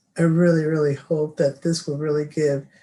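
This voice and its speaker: A man's somewhat breathy voice sits at a fairly high pitch and carries a dark, mellow tone. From US, East Los Angeles. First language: Spanish. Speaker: commissioner. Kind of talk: meeting remarks. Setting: video call.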